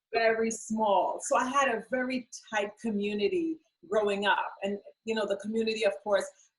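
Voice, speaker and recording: A woman with a Trinidadian accent speaks at a moderate pace. Her pitch sits fairly high, with ordinary variation. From Trinidad and Tobago. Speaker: beauty business owner. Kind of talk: interview.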